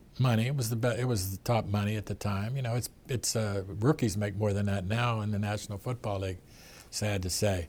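With a Pittsburgh accent, a man talks at a fairly quick pace in a fairly low, somewhat breathy voice with fairly even intonation. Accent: Western Pennsylvania (Pittsburgh). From Pittsburgh, Pennsylvania. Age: 70s. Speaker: sportswriter and author. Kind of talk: interview. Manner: halting.

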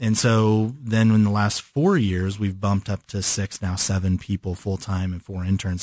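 With an ordinary speaking voice and an American accent, a man talks at a moderate pace and fairly low pitch over a quiet background. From California. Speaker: design studio owner. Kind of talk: interview.

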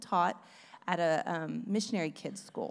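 Over a silent background in a very clean recording, a woman with a Texan accent talks at a fairly quick pace and medium pitch. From East Texas. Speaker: former missionary sharing testimony. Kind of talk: testimony.

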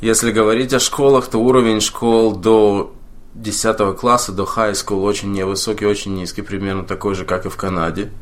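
At a moderate pace, a man speaks in an unremarkable speaking voice, fairly low in pitch, with fairly even intonation. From Moldova (Chisinau), former Soviet Union. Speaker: computer programmer. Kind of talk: casual interview chat.

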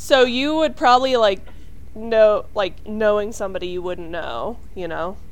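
In an ordinary speaking voice, a woman talks at a fairly slow pace with a fairly high pitch, lively intonation and big swings in loudness. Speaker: podcast co-host. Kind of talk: casual comedic chat. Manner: jokey, playful.

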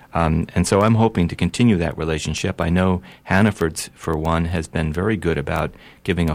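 The speech runs at a fairly quick pace. Pitch variation is ordinary. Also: man, very clean recording, silent background. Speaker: state legislator. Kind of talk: radio interview. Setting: studio.

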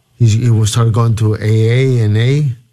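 Somewhat breathy and dark, mellow in tone, a man with a Spanish accent speaks at medium pitch. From Peru. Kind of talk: interview about faith and testimony.

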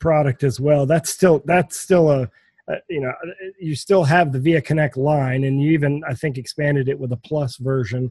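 A man's somewhat breathy voice is fairly high in pitch with ordinary pitch variation. He keeps a moderate pace, and the sound is dry and close with no echo. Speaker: podcast host. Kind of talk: casual interview chat.

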